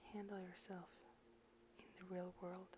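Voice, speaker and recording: The speaking goes at a fairly slow pace while background noise is clearly heard. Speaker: personal vlogger. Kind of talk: personal advice talk. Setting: at home at night, others sleeping.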